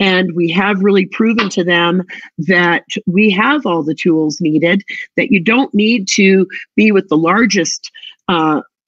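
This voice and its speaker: Using a plain, everyday voice, a woman of medium pitch speaks at a fairly slow pace. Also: ordinary pitch variation. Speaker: travel tech sales presenter. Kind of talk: product pitch with screen demo.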